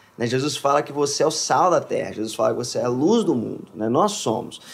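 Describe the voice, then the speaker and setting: An unremarkable speaking voice from a man, lively in intonation and at a fairly quick pace. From Brazil, Minas Gerais (Contagem). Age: 20s. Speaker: worship singer. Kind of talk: casual chat.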